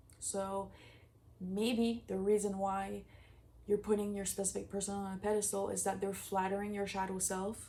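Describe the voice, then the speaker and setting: A woman's dark, mellow voice at medium pitch, monotone and flat, with audible room echo. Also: moderate pace. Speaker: manifestation coach. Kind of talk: casual vlog advice. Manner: casual, filler-heavy speech.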